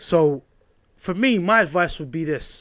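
A fairly high-pitched man with a British accent and lively intonation, in a very clean recording with a silent background. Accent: British urban. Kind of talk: casual chat.

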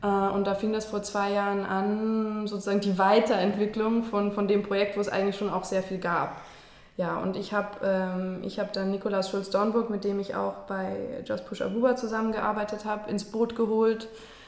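In a room with audible echo and noticeable background noise, a woman talks at a moderate pace and medium pitch in a monotone, flat way. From Germany, raised largely in London. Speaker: screenwriter. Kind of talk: interview. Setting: her kitchen.

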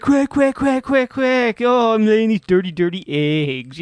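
Doing a put-on character voice, a man speaks gruffly at a high pitch and fairly slow pace, with music in the background. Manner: frantic, comic.

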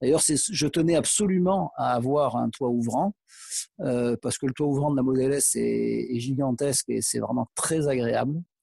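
A man's medium-pitched voice at a moderate pace, very even in loudness, in a dry, close sound with no echo. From Provence, southern France (Aix-en-Provence). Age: 60s. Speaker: PE teacher and car owner. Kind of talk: interview. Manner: hesitant, many fillers.

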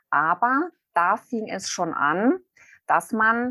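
A woman's speech is very slow. Her voice sounds dry and close, with no echo. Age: 40s. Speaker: retail category manager and author. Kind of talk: interview.

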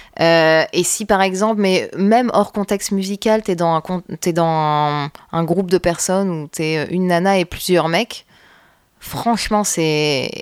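On a dry, close recording with no echo, a woman speaks very slowly at a fairly low pitch with ordinary pitch variation. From northern France (Roubaix). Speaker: bassist and singer-songwriter. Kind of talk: casual interview chat.

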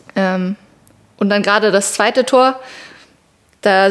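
Fairly even intonation marks this voice. It belongs to a woman. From Palatinate, Germany (Meckenheim). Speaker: field hockey goalkeeper. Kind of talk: casual interview.

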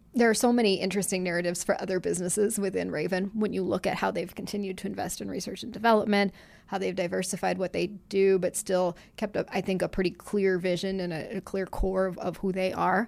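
A woman's medium-pitched, flat monotone with vocal fry, at a very fast pace with hardly any pauses, on a very clean recording with a silent background. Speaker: publisher. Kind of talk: casual chat. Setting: studio.

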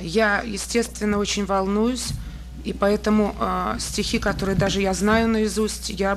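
A woman's voice at a moderate pace over noticeable background noise. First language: Russian. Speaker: poet. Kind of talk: poetry reading in Russian.

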